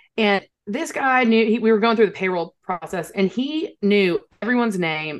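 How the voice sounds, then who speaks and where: A woman with a normal speaking voice, medium pitch and lively intonation. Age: 30s. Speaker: HR consultant and entrepreneur. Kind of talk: interview.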